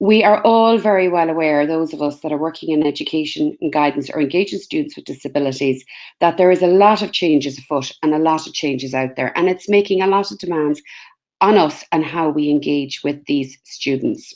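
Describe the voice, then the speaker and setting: Speaking at a fairly quick pace, a woman uses a very deep, low pitch with ordinary pitch variation. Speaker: career guidance researcher. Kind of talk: webinar presentation. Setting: webinar video call. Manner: fast.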